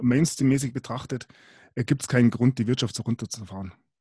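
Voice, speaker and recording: A man's medium-pitched, somewhat breathy voice has a dark, mellow tone and ordinary pitch variation, heard in a dry, close sound with no echo. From Bavaria. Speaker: podcast host. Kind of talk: casual chat.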